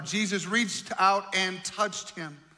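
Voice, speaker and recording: Against noticeable background noise, a man with a high pitch uses a raised, projected voice at a moderate pace and fairly even intonation. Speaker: pastor. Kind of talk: sermon.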